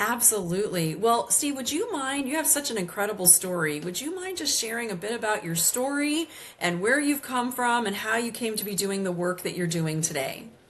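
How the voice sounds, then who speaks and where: Over noticeable background noise, a woman with a fairly high pitch talks at a fairly quick pace with hardly any pauses and very wide pitch swings. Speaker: podcast host and business coach. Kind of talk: podcast interview. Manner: fast.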